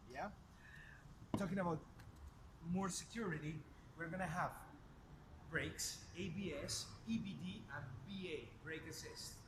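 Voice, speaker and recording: Speaking in a Spanish accent at a moderate pace, a man with a high voice leaves long, frequent pauses, and audible room echo surrounds him. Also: ordinary pitch variation. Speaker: car salesperson. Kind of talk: product review. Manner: casual, conversational.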